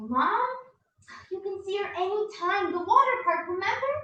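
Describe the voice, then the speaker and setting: This put-on character voice is squeaky and extremely high-pitched, with an energetic tone, a moderate pace and a slight echo. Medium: stage play. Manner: energetic, eager.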